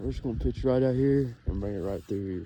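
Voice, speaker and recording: A man with a Kentucky accent speaks fairly quickly in a dark, mellow tone, his pitch varying in an ordinary way. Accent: Kentucky rural Southern US. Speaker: fishing video creator. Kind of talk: casual outdoor fishing commentary. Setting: outdoors on a lake shore.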